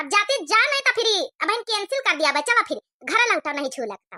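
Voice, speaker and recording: A woman uses a squeaky, cartoonish character voice at an extremely high pitch, with very wide pitch swings and big swings in loudness. She talks at a very fast pace, and the sound is dry and close with no echo. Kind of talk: rural comedy cartoon. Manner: scolding yet affectionate.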